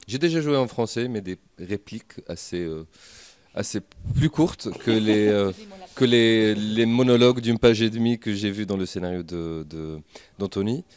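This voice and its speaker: A man with a fairly low pitch, lively intonation, a fairly slow pace, and long, frequent pauses. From Tunisia. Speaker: actor. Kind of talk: interview. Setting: film festival. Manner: halting.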